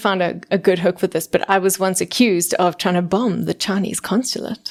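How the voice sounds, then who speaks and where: On a very clean recording with a silent background, a woman with a South African accent speaks at a medium pitch with fairly even intonation. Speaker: voice actor. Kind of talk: podcast interview answer. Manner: casual, chatty, humorous.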